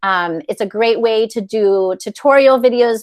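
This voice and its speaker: A woman uses an ordinary speaking voice with a fairly high pitch and ordinary pitch variation. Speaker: educator presenting a digital tool. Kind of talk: tutorial.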